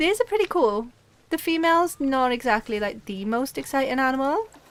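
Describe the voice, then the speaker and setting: A woman with a Welsh accent talks at a fairly quick pace in a high voice. Her pitch swings very widely. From Wales. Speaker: gaming streamer. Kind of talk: live game stream chat. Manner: animated.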